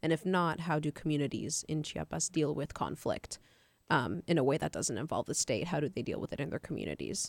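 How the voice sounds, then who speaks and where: A woman speaks at a fairly quick pace in a very deep, low voice with vocal fry and ordinary pitch variation. The sound is dry and close, with no echo. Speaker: college radio host. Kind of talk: radio show hosting. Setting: studio.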